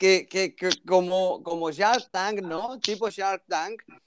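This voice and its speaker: A high-pitched man speaks at a very slow pace in a dry, close sound with no echo. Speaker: doctor. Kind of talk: casual chat. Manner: animated.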